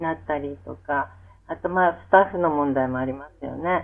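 A woman speaks in a normal speaking voice. Her pace is moderate and her intonation fairly even. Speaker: music therapist. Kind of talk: interview. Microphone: poor audio quality.

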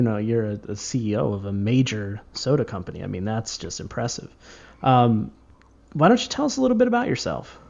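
This man has a plain, everyday voice and a lively intonation. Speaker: podcast host. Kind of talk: casual comedy podcast chat.

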